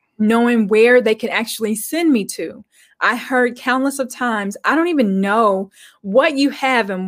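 A high-pitched woman with lively intonation at a moderate pace, on a very clean recording with a silent background. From Arkansas, US. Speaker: guest. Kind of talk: interview.

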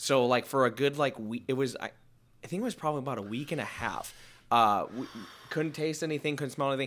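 Over a very clean recording with a silent background, a man with an American accent speaks very fast at a fairly high pitch with ordinary pitch variation. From Connecticut. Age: 20s. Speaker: musician. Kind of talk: casual chat.

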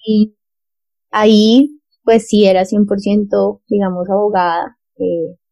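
In a Bogotá accent, a woman speaks at medium pitch with fairly even intonation and a dark, mellow tone, recorded dry and close with no echo. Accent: Bogotá Colombian Spanish. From Colombia, Bogotá. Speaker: lawyer and social entrepreneur. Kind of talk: interview.

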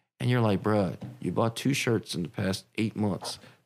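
A man talks with a DC area accent. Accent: DC-area American English. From Silver Spring, Maryland (DC area). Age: 30s. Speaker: clothing brand owner. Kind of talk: casual chat.

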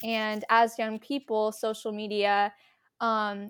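In an American accent, a woman with a normal speaking voice talks fairly slowly at a fairly high pitch with fairly even intonation, on a very clean recording with a silent background. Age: young. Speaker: college student podcast co-host. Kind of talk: casual chat.

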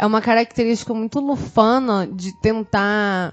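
Her voice is fairly high, with ordinary pitch variation. The woman has an ordinary speaking voice. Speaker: podcast co-host. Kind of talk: casual chat.

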